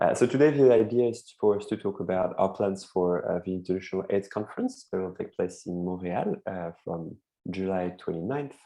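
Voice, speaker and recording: A man with a French accent speaks at a moderate pace in a very deep, low pitch, his tone dark and mellow and his pitch varying in an ordinary way. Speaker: advocacy network coordinator hosting a call. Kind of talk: online meeting presentation. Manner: hesitant, many fillers.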